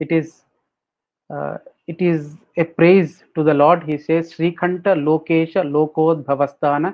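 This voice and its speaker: The speaker has a Telugu accent and a fairly slow pace. The intonation stays monotone and flat. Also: man, fairly high pitch for a man. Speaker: spiritual speaker. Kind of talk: webinar Q&A.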